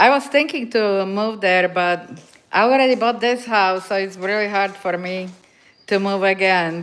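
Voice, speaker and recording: A woman with a Slovak accent talks at a moderate pace and medium pitch, with ordinary pitch variation. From Slovakia. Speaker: dog owner livestreamer. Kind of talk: casual livestream chat. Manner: halting.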